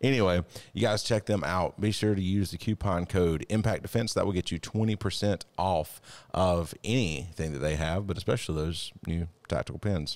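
A man speaks at a moderate pace in a very deep, low pitch. His pitch varies in an ordinary way. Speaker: podcast co-host, self defense instructor. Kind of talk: podcast conversation. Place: studio. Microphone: studio mic.

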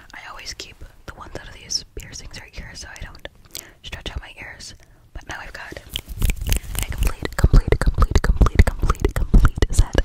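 A whispering woman at a moderate pace, dry sound with no echo, noticeable background noise. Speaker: ASMR creator. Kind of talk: ASMR whisper role-play and sponsor talk. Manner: close-mic ASMR whisper. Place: home room. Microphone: studio mic.

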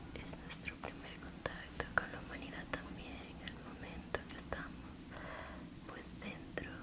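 Soft-spoken and whispering, the voice moves at a very slow pace. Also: woman. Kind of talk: soft explanatory narration during a massage. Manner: soft whispered ASMR narration. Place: home room. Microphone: lapel.

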